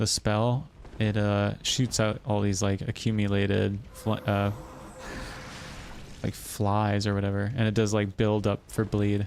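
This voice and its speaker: Delivered at a fairly slow pace with long, frequent pauses, the speech is monotone and flat in intonation and very even in loudness. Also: man, fairly low pitch for a man. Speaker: gaming streamer. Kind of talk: live gameplay commentary. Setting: livestream. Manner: casual, hesitant with fillers.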